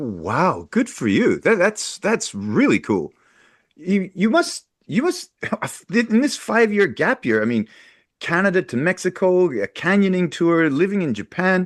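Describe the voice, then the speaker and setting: Very wide pitch swings mark this fairly slow speech, recorded with a dry, close sound, no echo and a quiet background. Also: man, high pitch for a man. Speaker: podcast host. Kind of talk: podcast interview.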